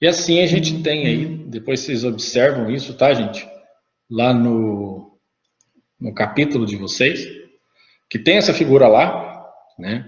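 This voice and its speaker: In a room with audible echo, a man with a somewhat breathy voice at a medium pitch speaks at a fairly slow pace, with lively intonation and long, frequent pauses. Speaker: teacher. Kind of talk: lecture.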